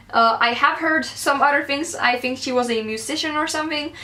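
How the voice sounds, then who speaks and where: A woman with a Swedish accent, her high-pitched voice raised and projected, amid noticeable background noise. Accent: Swedish-accented English today. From Sweden. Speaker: book vlogger. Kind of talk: casual vlog, book haul.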